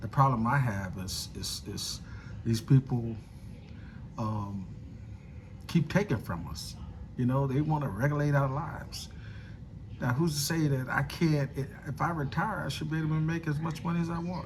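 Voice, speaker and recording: The speaker talks at a moderate pace with lively intonation and long, frequent pauses. Room echo is audible. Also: man, fairly high pitch for a man. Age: 60s. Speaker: political commentator vlogger. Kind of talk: casual monologue. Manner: halting, many fillers and repetitions.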